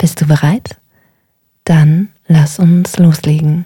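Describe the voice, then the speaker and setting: A woman with a very deep, low pitch, a dark, mellow tone, a calm, soothing tone and a somewhat breathy sound, at a very slow pace. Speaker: meditation guide. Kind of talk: guided meditation. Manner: slow, calm, soothing; gentle, unhurried, with long pauses.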